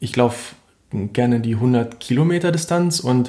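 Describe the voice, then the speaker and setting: A man speaks at a medium pitch with ordinary variation. His voice is somewhat breathy. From central Germany (Harz, Lower Saxony). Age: 20s. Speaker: ultra trail runner. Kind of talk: interview. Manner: hesitant with fillers and repetitions.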